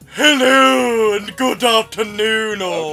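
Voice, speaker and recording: Over music in the background, a put-on character voice with fairly high pitch moves at a very slow pace. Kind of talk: greeting announcement. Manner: exaggerated, spiky, over-the-top.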